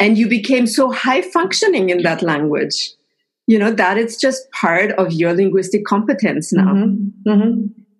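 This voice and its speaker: A woman speaks at a medium pitch and a moderate pace with a German accent and lively intonation. Her voice is somewhat breathy and her loudness stays very even. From Austria. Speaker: linguist and podcast host. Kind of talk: casual interview. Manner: animated.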